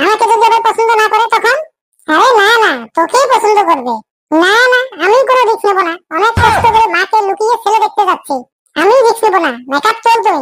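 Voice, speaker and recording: A woman performs a cartoonish character voice that is squeaky and extremely high in pitch. She talks at a fairly quick pace. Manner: insistent, dramatic.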